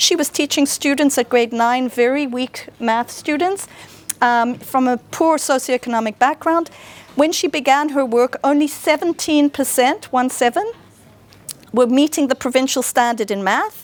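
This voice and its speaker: A woman with a high pitch and ordinary pitch variation speaks in a dry, close sound with no echo, over noticeable background noise. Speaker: teacher learning director, conference speaker. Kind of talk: conference talk. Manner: fast.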